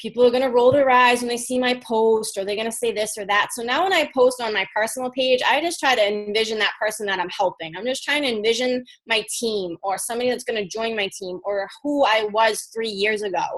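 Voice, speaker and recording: A woman's fairly high voice with ordinary pitch variation and hardly any pauses. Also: fairly quick pace. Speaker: fitness coach. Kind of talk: team call presentation. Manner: fast; animated.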